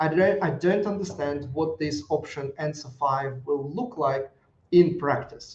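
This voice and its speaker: With a non-native accent, a man talks at a fairly slow pace in a somewhat breathy, fairly high voice with ordinary pitch variation. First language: not English. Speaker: risk management consultant. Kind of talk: live video review. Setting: live broadcast. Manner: halting, many fillers and restarts.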